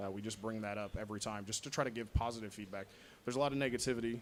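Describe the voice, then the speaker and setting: A man at a medium pitch, talking very fast with ordinary pitch variation. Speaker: podcaster. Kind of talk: convention panel talk. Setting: stage with audience. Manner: loud.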